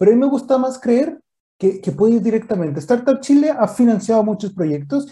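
Speaking at a fairly quick pace, a man has an extremely high pitch. His intonation is lively. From northern Mexico. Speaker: entrepreneurship ecosystem expert. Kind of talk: interview.

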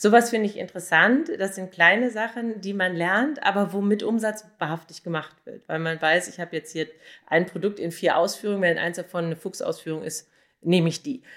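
A woman's medium-pitched, normal speaking voice, fairly quick and lively in intonation, with big swings in loudness, on a very clean recording with a silent background. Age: 40s. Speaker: online marketer and blogger. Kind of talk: interview answers.

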